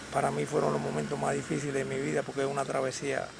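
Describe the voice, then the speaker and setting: Noticeable noise sits in the background. Over it, a man talks very fast. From Cuba, Havana. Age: 70s. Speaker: Cuban exile, hauler. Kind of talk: interview testimony.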